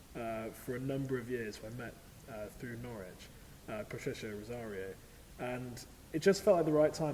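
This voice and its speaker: Audible room echo surrounds a man speaking at a medium pitch and a fairly quick pace. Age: 20s. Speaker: opera singer. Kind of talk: interview. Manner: halting.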